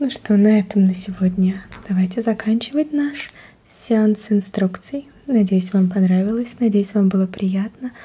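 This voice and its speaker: Soft-spoken, a woman talks at a fairly slow pace with ordinary pitch variation. Her loudness stays very even. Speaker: ASMR host. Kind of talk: soft guided instructions. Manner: soft, quiet ASMR voice. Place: home room.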